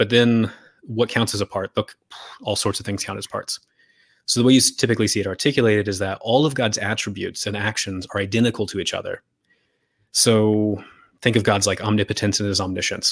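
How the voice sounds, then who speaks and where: Speaking at a fairly quick pace with an American accent, a man uses a fairly low voice and fairly even intonation in a dry, close recording with no echo. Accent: American with shifts toward British. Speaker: philosophical theologian. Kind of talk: casual interview. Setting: video call.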